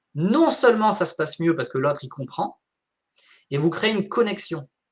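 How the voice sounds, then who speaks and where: Pausing often and at length, a man talks in an animated tone with very wide pitch swings. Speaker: wellbeing coach. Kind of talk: live interview.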